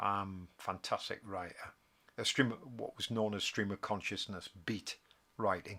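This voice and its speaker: A man's fairly low, bright and sharp voice in a Geordie accent, monotone and flat, fairly slow with long, frequent pauses, on a very clean recording with a silent background. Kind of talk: casual live stream talk. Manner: hesitant, rambling.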